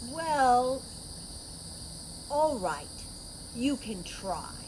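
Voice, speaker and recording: A woman speaks in a high, put-on character voice. Background noise is clearly audible. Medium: read story. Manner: proud, bossy.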